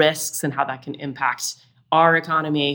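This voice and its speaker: Here a woman speaks with an American accent. Her pitch is very deep and low. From Utah. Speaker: venture capitalist. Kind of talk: interview.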